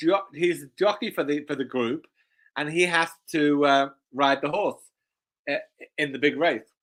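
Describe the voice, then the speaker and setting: A man with a British accent speaks at a moderate pace with ordinary pitch variation in a very clean recording with a silent background. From UK. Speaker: horse racing handicapper. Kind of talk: race analysis discussion. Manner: halting, repeats words.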